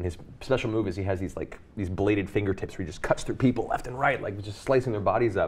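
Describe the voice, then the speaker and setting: Speaking at a very fast pace with hardly any pauses, a man uses a fairly low, somewhat breathy voice with ordinary pitch variation. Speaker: voice actor. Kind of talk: interview answer. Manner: casual, conversational.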